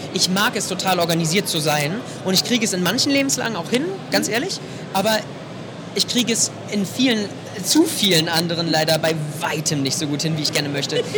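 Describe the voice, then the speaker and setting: A man talks at a fairly quick pace with a high pitch and lively intonation, leaving long, frequent pauses. Audible room echo and noticeable background noise surround him. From Potsdam, Germany. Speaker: voice actor. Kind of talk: interview. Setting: convention floor.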